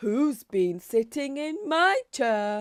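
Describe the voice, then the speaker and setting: A woman growls in a high-pitched, put-on character voice. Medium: read story. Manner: growling.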